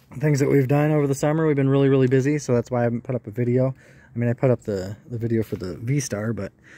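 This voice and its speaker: Speaking at a very fast pace with ordinary pitch variation, a man comes through in a dry sound with no echo. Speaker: hobbyist vlogger. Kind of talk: casual vlog chat. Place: street. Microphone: phone near.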